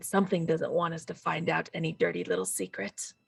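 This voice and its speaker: A raspy, put-on character voice at a fairly quick pace. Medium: actual play. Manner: probing, measured.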